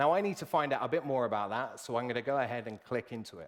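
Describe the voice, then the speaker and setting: Against a silent background on a very clean recording, a man with a British accent talks at a very fast pace with lively intonation. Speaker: software solutions consultant. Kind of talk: live product demo presentation.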